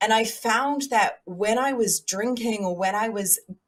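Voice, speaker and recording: At a fairly slow pace, a woman with a New Zealand accent speaks with ordinary pitch variation. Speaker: mindset coach and speaker. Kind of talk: motivational talk.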